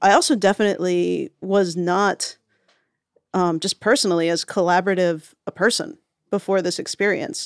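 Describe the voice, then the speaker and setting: Using an ordinary speaking voice, a woman speaks at a moderate pace with a medium pitch and ordinary pitch variation, the sound dry and close with no echo. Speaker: podcast writer. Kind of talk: casual interview.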